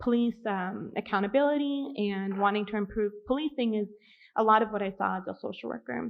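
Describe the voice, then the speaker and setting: Lively intonation carries a woman's medium-pitched voice at a fairly quick pace. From US Pacific Northwest, Seattle. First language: American Sign Language. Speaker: social worker. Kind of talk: public meeting self-introduction. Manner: frequent filler words (um, uh).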